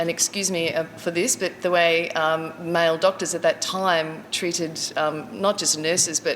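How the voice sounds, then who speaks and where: Against noticeable background noise, a woman with an Australian accent talks at a fairly slow pace in a fairly low pitch. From Queensland, Australia. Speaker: community storyteller, drumming facilitator. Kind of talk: personal life story talk. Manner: halting, many fillers.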